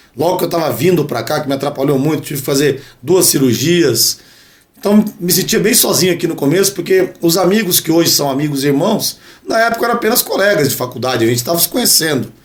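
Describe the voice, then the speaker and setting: Over noticeable background noise, a man speaks very fast at a high pitch with lively intonation. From Brazil, São José dos Campos (São Paulo state). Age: 40s. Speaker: dentist and radio sports commentator. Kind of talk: casual podcast interview.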